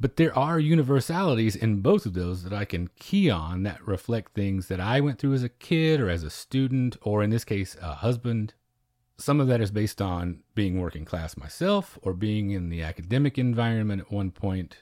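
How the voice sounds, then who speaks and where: In a very clean recording with a silent background, a man with an American accent speaks at a moderate pace with hardly any pauses, fairly low pitch, lively intonation and a dark, mellow tone. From southwest Oklahoma. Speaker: podcast co-host. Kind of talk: casual film discussion.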